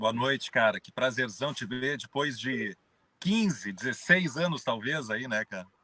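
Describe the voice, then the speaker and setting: The sound is dry and close, with no echo. A man with a medium pitch talks fairly slowly, his intonation lively. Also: big swings in loudness. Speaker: journalist and business consultant. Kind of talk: live stream interview. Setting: in his car.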